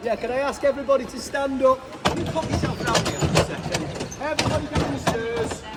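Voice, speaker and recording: A man's extremely high voice in a Manchester accent, very fast with ordinary pitch variation, amid noticeable background noise and audible room echo. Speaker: stadium tour guide. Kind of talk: guided tour talk. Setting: stadium, with tour group. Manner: animated, enthusiastic.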